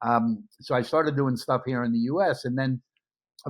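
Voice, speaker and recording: Moderate-paced speech with a New York accent against a quiet background. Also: man. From US Northeast, Brooklyn, New York. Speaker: media entrepreneur. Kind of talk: interview conversation.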